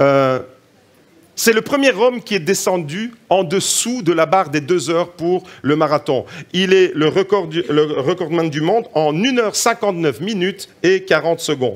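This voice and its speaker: This man has a slight Italian accent and a high pitch. He talks at a fairly slow pace with lively intonation and an animated tone. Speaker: preacher. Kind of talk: sermon.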